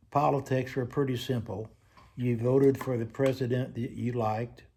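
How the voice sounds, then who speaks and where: Somewhat breathy and dark, mellow in tone, a man talks at a moderate pace and medium pitch with fairly even intonation. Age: 70s. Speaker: grandfather interviewed for a class. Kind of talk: casual interview.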